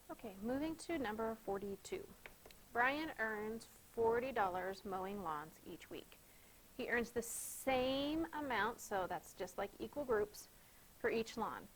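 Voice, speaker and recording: A woman speaks fairly slowly in a fairly high voice with lively intonation. It is a normal speaking voice. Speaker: schoolteacher. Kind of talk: tutorial.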